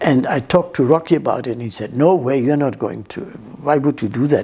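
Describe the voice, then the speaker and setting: A woman speaks with a German accent and lively intonation. Her pitch is very deep and low, with a dark, mellow tone. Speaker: interviewee telling her life story. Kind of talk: life story interview. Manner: halting, many false starts.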